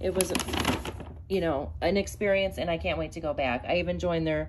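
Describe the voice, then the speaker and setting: A woman at a fairly quick pace, amid noticeable background noise. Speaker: crochet vlogger. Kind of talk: casual vlog chat. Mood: excited, cheerful. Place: home room. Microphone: phone near.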